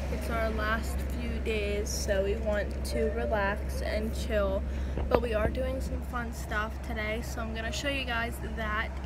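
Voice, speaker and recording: Loud background noise runs behind a voice speaking at a fairly slow pace. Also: woman. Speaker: vlogger. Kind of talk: casual vlog chat. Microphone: phone near.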